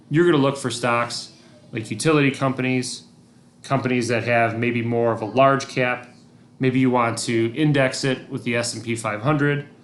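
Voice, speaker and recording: This man's voice sits at a medium pitch. His intonation stays monotone and flat. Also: moderate pace. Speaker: teacher. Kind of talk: recorded lesson.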